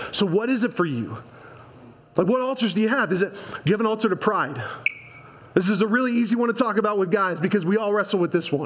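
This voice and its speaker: A man talks at a very fast pace in an animated tone, with a high pitch. Long, frequent pauses break up his speech over noticeable background noise. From US Midwest, Indiana (Hendricks County); Indiana. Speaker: conference speaker. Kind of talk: sermon. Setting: church stage with audience. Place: church. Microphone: headset.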